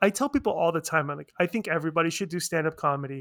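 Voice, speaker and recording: Recorded very cleanly against a silent background, a man with a high pitch speaks with ordinary pitch variation in a dry, close sound with no echo. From Iranian family background. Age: 40s. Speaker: podcast host and weight-loss surgery patient. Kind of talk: casual chat. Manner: animated.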